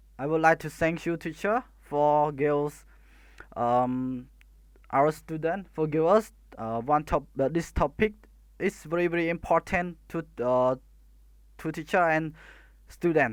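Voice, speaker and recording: Someone with a Khmer accent speaks at a fairly slow pace with long, frequent pauses in a very clean recording with a silent background. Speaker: student. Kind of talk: class presentation. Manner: halting, many hesitations.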